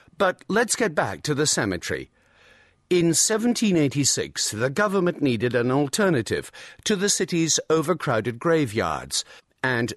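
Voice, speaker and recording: A man talks at a moderate pace in a fairly high voice with very wide pitch swings, recorded dry and close with no echo against a quiet background. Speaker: audiobook narrator. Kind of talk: scripted audio-guide narration, clear and informative tour-guide style. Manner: measured, clear and even-paced.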